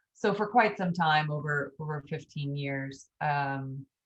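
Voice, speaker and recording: The pace is fairly slow as a woman talks. A somewhat breathy quality marks her voice. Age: 40s. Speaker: author and EMT. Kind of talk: interview.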